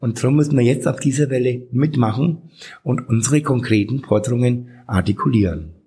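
With vocal fry and a dark, mellow tone, a man speaks at a medium pitch and moderate pace, his pitch varying in an ordinary way and his loudness very even. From Franconia, Bad Windsheim. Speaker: drag queen and city councillor. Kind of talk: interview.

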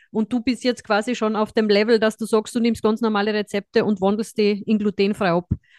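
In a strong Austrian accent, a woman talks at a fairly quick pace with hardly any pauses, her fairly high voice held in a monotone, flat intonation. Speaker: podcast host, dietitian. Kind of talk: casual chat.

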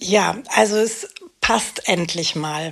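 At a very slow pace, a woman talks in a medium pitch with ordinary pitch variation. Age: 50s. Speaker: actress and single mother with ADHD. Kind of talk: interview.

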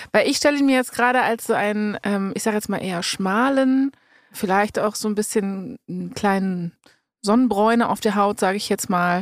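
At a moderate pace, a woman talks in a fairly high pitch with an animated tone and ordinary pitch variation. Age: 30s. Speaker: podcast host. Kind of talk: casual chat. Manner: animated, laughs often.

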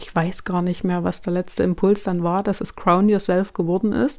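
Her voice has a dark, mellow tone. This woman's pitch is in the medium range. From Thuringia, Germany. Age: 30s. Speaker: podcast host and coach. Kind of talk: solo podcast monologue. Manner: casual, chatty.

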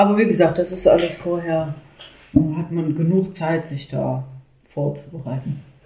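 A woman with a fairly low pitch speaks at a moderate pace with fairly even intonation. Long, frequent pauses come through over noticeable background noise. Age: 30s. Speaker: mother sharing home birth story. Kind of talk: interview testimony.

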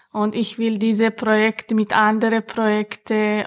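Speaking at a very slow pace, a woman has a fairly high pitch. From Chechnya. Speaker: member of women's podcast team. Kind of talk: casual personal statement. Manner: halting.

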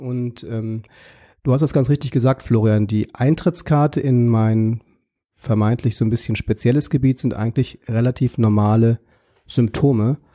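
A man speaks at a moderate pace with a medium pitch and fairly even intonation, his tone dark and mellow. The recording is very clean with a silent background and a dry, close sound with no echo. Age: 40s. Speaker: pediatrician. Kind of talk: interview.

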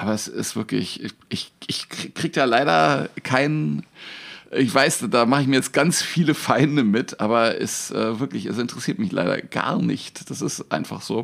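Speaking at a moderate pace, a man with a medium pitch shows vocal fry and very wide pitch swings. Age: 50s. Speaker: magician and comedian. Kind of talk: casual chat.

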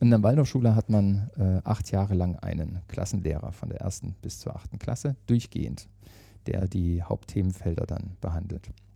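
A man talks at a moderate pace in a very deep, low pitch with ordinary pitch variation. His tone is dark and mellow, and somewhat breathy. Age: 50s. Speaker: managing director of a training academy. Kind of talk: interview. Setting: meeting room at company headquarters.

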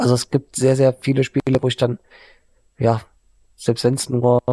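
In a dry, close sound with no echo, a man of medium pitch speaks at a moderate pace with a dark, mellow tone and monotone, flat intonation. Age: 30s. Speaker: gaming streamer, online editor. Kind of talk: casual interview.

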